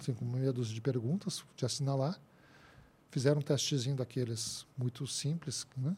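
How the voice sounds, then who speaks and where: A somewhat breathy man on a very clean recording with a silent background. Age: 50s. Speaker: labour court expert, engineer and professor. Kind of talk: interview.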